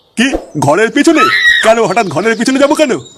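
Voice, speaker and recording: Using a gruff, put-on character voice, a man speaks at an extremely high pitch and a moderate pace, with very wide pitch swings. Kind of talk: comic cartoon voice acting. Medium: cartoon. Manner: gruff, scolding, swearing.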